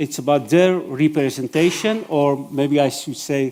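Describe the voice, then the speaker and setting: A man with a fairly high pitch speaks at a moderate pace, his pitch varying an ordinary amount. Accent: non-native. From Iran. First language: Persian. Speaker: event moderator. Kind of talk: event moderation. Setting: stage with audience. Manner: hesitant, many fillers.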